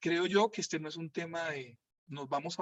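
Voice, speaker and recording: This man talks at a fairly high pitch with a Colombian accent. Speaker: Dominican friar, retreat preacher. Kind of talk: retreat talk answering listener comments. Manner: hesitant with repetitions.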